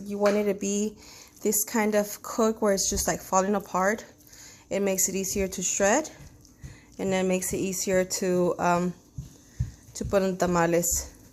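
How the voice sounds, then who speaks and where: With a Spanish accent, a woman speaks at a medium pitch and a moderate pace with fairly even intonation on a very clean recording with a silent background. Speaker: home cook. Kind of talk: tutorial. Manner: casual, hesitant with fillers.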